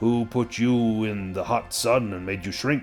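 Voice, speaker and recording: Clear music plays in the background as a man uses a booming, put-on character voice. He speaks at a moderate pace with a medium pitch. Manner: jovial, teasing.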